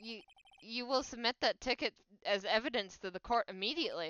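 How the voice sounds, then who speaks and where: A female-sounding voice puts on a shaky character voice at a fairly high pitch and fairly quick pace. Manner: commanding yet quivering.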